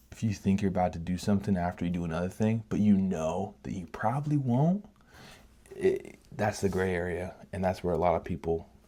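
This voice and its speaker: In a very clean recording with a silent background, a man speaks quietly in a dark, mellow tone. His very deep, low pitch shows ordinary variation, and his pace is moderate. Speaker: painting vlogger. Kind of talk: casual monologue while painting. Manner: halting.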